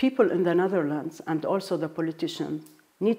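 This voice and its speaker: A woman's fairly low, dark and mellow voice with an Arabic accent, moderate pace and ordinary pitch variation. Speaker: diplomat. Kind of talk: interview. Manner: halting.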